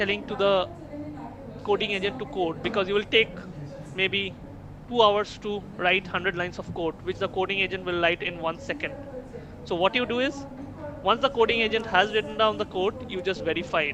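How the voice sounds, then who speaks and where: A man with a Bengali accent speaks in a raised, projected voice that sits high for a man, at a fairly quick pace with long, frequent pauses, ordinary pitch variation and noticeable background noise. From India, Kolkata, West Bengal. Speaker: invited speaker on AI and entrepreneurship. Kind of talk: lecture. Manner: repetitive false starts.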